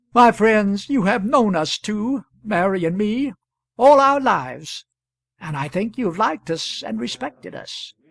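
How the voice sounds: A female-sounding voice in a put-on character voice, shaky and at a medium pitch, moves at a moderate pace against a quiet background.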